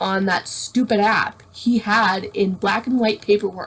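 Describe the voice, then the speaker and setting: A woman with a Canadian accent, a normal speaking voice, fairly high pitch, ordinary pitch variation and a fairly slow pace. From Canada. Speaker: blind YouTuber. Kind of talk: casual chat.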